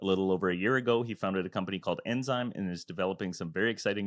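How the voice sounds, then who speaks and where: Speaking at a very fast pace with fairly even intonation, this voice comes through dry and close with no echo against a quiet background. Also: man. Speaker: podcast host. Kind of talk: podcast host questions.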